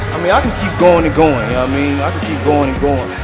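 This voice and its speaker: Loud music plays in the background as a man speaks. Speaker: vlogger. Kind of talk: casual vlog chat. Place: shop. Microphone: phone near.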